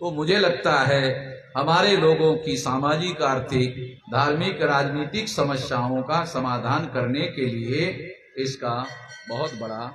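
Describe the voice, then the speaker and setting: A man's fairly high voice with ordinary pitch variation, audible room echo and noticeable background noise. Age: 60s. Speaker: activist leader. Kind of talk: political speech.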